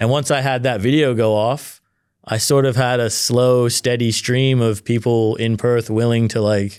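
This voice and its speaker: A man's medium-pitched voice with an American accent, flat and monotone, at very even loudness, on a very clean recording with a silent background. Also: moderate pace. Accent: American-sounding North American. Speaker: car reviewer and video creator. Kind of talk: casual interview chat. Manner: casual, filler-heavy.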